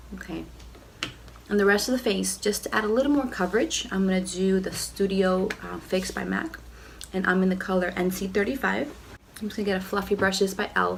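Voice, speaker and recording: Noticeable background noise and audible echo from the room surround a woman's speech. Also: fairly quick pace. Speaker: beauty vlogger. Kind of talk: makeup tutorial. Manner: casual, chatty.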